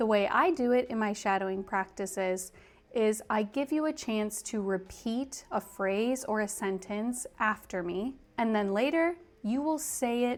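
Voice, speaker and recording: Spoken with an American accent, this unremarkable speaking voice moves at a fairly slow pace with ordinary pitch variation. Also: woman. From US. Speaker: English teacher. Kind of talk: tutorial.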